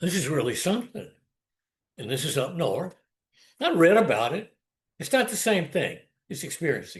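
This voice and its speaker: A Southern US accent with very wide pitch swings, big swings in loudness, and long, frequent pauses. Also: man, high pitch for a man, moderate pace. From US South, South Carolina Lowcountry. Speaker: storyteller. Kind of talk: personal storytelling. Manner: animated.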